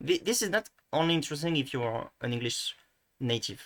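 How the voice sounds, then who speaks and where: A man talks at a very fast pace with a French accent. The recording is very clean, with a silent background. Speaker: language video creator. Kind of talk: tutorial. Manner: halting, many false starts; casual, thinking aloud.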